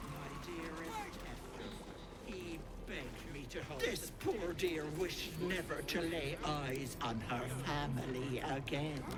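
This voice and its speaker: Loud music plays in the background. A put-on character voice speaks at a fairly slow pace. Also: man, fairly high pitch for a man. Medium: game stream. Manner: cloyingly sweet, teasing.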